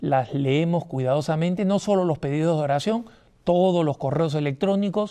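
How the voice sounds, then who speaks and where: A man's dark, mellow voice at a fairly high pitch, with ordinary pitch variation and a quiet background. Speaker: TV host. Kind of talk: TV monologue on religious history. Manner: animated.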